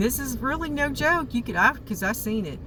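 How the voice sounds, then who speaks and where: A woman is speaking. Her voice carries audible room echo. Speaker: YouTuber. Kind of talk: casual vlog monologue. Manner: rambling, halting with many fillers.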